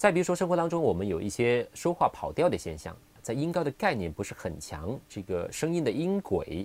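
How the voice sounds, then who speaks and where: A man speaks at a fairly quick pace with vocal fry. His pitch makes very wide swings. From Guangdong, Qingyuan. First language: Cantonese (speaking Chinese). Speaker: English pronunciation teacher. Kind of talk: solo podcast talk.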